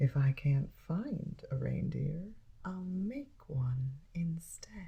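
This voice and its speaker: In a put-on character voice, a female-sounding speaker growls at a middle pitch and a very slow pace. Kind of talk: bedtime story soft spoken. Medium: read story. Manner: snarling, sneering.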